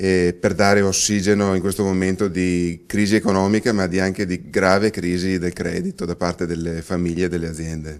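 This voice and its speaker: Monotone, flat intonation with hardly any pauses. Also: man, very deep, low pitch for a man. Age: 40s. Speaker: politician. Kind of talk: interview. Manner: halting, many fillers and restarts.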